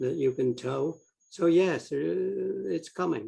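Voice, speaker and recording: This is a man speaking. His voice is somewhat breathy. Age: 80s+. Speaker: electric car owner, presenter. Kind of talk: casual chat.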